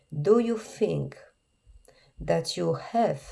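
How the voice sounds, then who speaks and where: In a Polish accent, a woman speaks at a very slow pace. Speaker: therapist or coach for alienated parents. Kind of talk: podcast monologue. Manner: earnest, repetitive emphasis.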